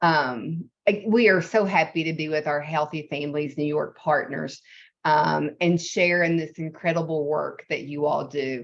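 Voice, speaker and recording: In a Southern US accent, a woman with a very deep, low pitch speaks at a fairly slow pace with ordinary pitch variation over a quiet background. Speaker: nonprofit executive. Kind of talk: presentation.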